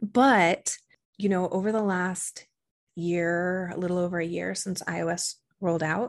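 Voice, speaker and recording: Fairly even intonation comes through against a quiet background. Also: woman. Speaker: digital marketing strategist. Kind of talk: podcast interview, conversational.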